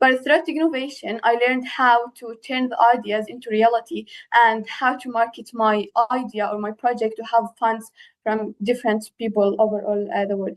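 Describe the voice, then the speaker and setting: A woman speaks with an Arabic accent at a fairly high pitch and a moderate pace. Her pitch varies in an ordinary way, and the background is quiet. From Palestine. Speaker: program alumna, young founder panelist. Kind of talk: panel discussion.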